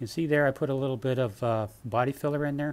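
A man is speaking. He moves at a fairly quick pace. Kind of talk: tutorial. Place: garage. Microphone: phone near.

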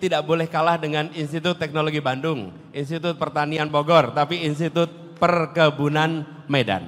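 Moderate-paced speech from a man, with fairly even intonation. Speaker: politician answering an audience. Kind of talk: public speech answer. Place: hall. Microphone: handheld.

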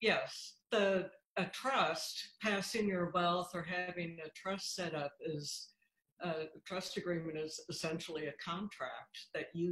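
The speech moves at a fairly slow pace. Room echo is audible. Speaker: guest. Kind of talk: interview answer. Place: home room. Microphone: video call.

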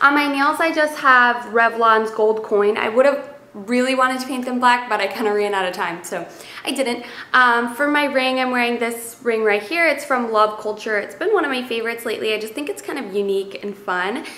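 With a bright, sharp tone and fairly high pitch, a woman speaks at a moderate pace with few pauses and ordinary pitch variation, faint noise behind her.

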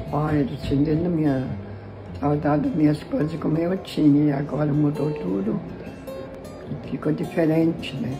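The speaker goes at a moderate pace with long, frequent pauses. Clear music plays in the background. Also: woman, very deep, low pitch for a woman. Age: 80s+. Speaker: flood survivor. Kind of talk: interview answer. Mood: sad but hopeful, resigned. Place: home room. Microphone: phone near.

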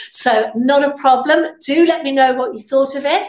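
Audible room echo surrounds the speech. It moves at a fairly slow pace. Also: woman.

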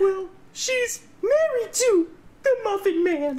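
Someone speaks in a put-on character voice at an extremely high pitch and a fairly slow pace.

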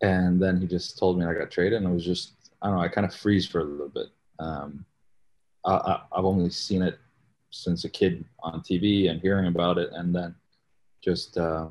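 Delivered at a moderate pace, a man's very deep, low voice stays monotone and flat, broken by long, frequent pauses. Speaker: guest. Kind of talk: interview answer. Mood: relaxed, reflective storytelling. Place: home room. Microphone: video call.

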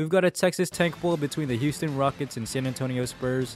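Lively intonation and a fairly quick pace from a man with an unremarkable speaking voice at a medium pitch. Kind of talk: sports play-by-play commentary.

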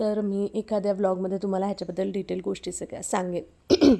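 Recorded very cleanly against a silent background, a woman talks in a dark, mellow tone. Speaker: vlogger and homemaker. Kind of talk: casual vlog talk to camera.

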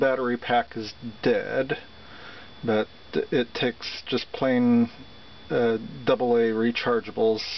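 Very slow in pace, a man speaks with ordinary pitch variation, the sound dry with no echo over light background noise. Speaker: seller demonstrating an item. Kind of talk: product demonstration. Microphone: phone near.

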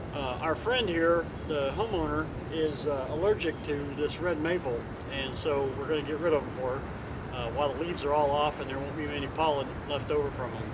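Speech at a fairly quick pace with ordinary pitch variation comes through loud background noise. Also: man. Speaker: chainsaw channel host. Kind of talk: casual vlog chat. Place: garden.

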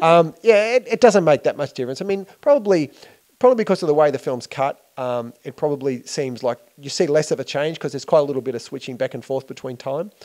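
Against a quiet background, the speaker talks with lively intonation in an Australian accent. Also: man, fairly high pitch for a man, big swings in loudness. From Australia, Melbourne. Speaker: filmmaker. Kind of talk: interview. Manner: hesitant, many fillers. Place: home room. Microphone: handheld.

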